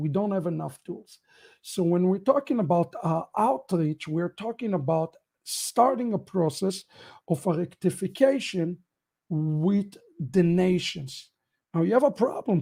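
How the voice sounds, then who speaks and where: With an Israeli accent, a man speaks fairly slowly in a high pitch, a dark, mellow tone and lively intonation. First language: Hebrew. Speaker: rabbi. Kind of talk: end-of-year ministry update broadcast.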